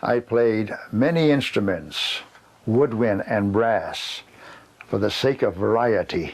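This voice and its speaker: A man speaks very slowly at a medium pitch. His pitch variation is ordinary. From US, Connecticut. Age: 90s. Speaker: accordionist and teacher. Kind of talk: interview, life story.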